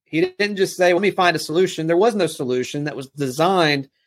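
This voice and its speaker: A man's fairly high voice in a Southern US accent, fairly quick in pace, with ordinary pitch variation. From US South, South Alabama. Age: young. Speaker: network marketing leader. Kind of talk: interview.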